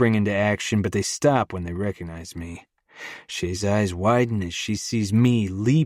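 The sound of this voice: Over a quiet background, someone reads in an unforced reading voice with ordinary pitch variation.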